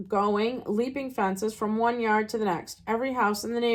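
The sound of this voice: An unforced reading voice carries fairly even intonation throughout.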